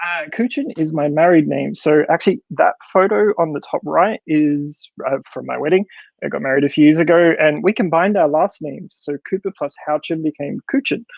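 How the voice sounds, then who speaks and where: The speaker uses ordinary pitch variation at a moderate pace with an Australian accent. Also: man. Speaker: developer advocate, conference speaker. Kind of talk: conference talk. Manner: animated, many fillers and restarts.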